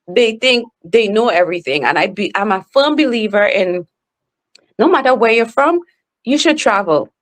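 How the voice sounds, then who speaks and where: In a strong Trinidadian accent, a woman speaks at a moderate pace with an animated tone, a fairly high pitch and very wide pitch swings. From Trinidad and Tobago. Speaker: author and speaker. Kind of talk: podcast interview.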